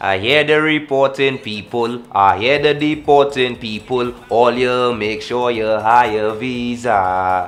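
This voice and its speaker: A man's medium-pitched voice at a very slow pace with an ordinary pitch variation and a Trinidadian accent, music in the background. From Trinidad and Tobago. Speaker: calypso and soca musician. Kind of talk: interview answer.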